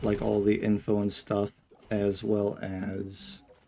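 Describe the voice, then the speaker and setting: A man talks quietly at a fairly low pitch. Music plays in the background. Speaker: gaming streamer. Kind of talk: casual live-stream chat.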